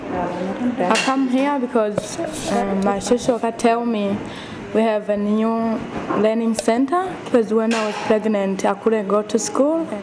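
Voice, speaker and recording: The pace is fairly slow, with ordinary pitch variation. Audible room echo and noticeable background noise fill the recording. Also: woman, fairly high pitch for a woman. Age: young. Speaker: student. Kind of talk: interview.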